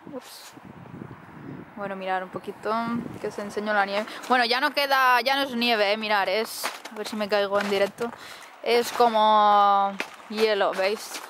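The speech comes at a fairly slow pace with long, frequent pauses, in a dry sound with no echo and noticeable background noise. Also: woman, fairly high pitch for a woman. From Spain, Alicante. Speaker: travel vlogger. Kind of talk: casual vlog. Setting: outdoors in snow. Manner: animated. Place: open country. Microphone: phone near.

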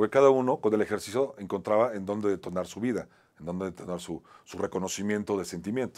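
A fairly low-pitched man speaks very fast with ordinary pitch variation and big swings in loudness. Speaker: talk show host and actor; talk show host, actor. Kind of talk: motivational monologue. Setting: studio. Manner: halting, repetitive. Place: studio. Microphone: lapel.

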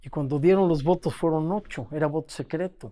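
A man with a Mexican accent against a quiet background. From Mexico. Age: 80s+. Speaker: former football federation president. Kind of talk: interview. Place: home room.

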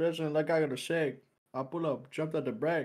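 A man with an unremarkable speaking voice keeps to a moderate tempo. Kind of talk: casual chat.

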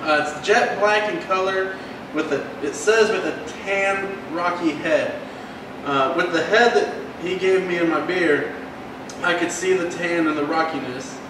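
Speaking at a fairly slow pace, a man has a high pitch with ordinary pitch variation. Audible room echo and noticeable background noise fill the recording. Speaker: podcast host. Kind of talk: casual chat. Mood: relaxed, friendly. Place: bar.

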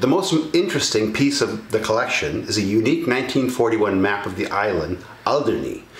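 A man's voice comes with light background noise and audible room echo. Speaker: presenter. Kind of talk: scripted narration to camera. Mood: enthusiastic, then mildly regretful.

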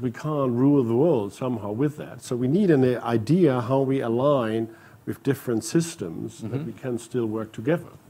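A man speaks at a moderate pace with hardly any pauses, his tone dark and mellow and his pitch variation ordinary. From Germany. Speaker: corporate CEO; panelist. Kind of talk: panel discussion. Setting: stage with audience. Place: hall. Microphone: lapel.

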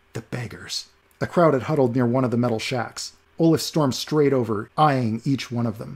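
Here the voice is an unforced reading voice throughout.

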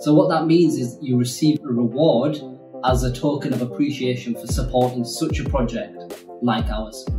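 Over clear music in the background, a man talks at a moderate pace and medium pitch. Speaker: animation studio co-founder. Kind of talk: casual talk to camera. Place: home room.

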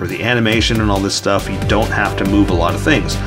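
Clear music plays in the background. Over it, a man speaks. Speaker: artist drawing tutorial host. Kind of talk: casual tutorial commentary while drawing. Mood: mildly frustrated, self-deprecating.

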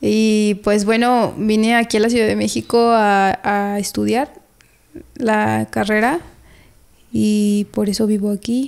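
A woman's very slow speech with fairly even intonation against a quiet background. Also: fairly high pitch for a woman, very even loudness. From Mexico, Oaxaca. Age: 20s. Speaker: civil engineering graduate, storyteller guest; podcast guest. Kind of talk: casual interview chat. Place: home room. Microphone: studio mic.

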